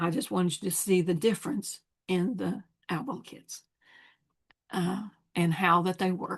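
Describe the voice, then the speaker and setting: Somewhat breathy, a woman speaks at medium pitch and a moderate pace, with ordinary pitch variation and long, frequent pauses. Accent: American. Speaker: scrapbooking sales advisor. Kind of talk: product demonstration. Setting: home.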